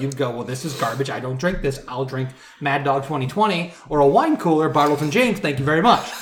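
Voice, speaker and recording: A man speaks at a fairly quick pace in a fairly high pitched, somewhat breathy voice with lively intonation. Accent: American. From Michigan. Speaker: brewery sales director. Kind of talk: casual chat. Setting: in person at a bachelor party.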